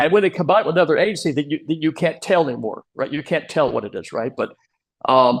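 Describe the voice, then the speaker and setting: Against a quiet background, a man with an American accent speaks at a very fast pace in a fairly high pitch with ordinary pitch variation. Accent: heavy Texan accent at times. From Texas, Round Rock near Austin. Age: 70s. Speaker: small business advocate. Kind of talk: interview. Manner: hesitant, many fillers and repeats.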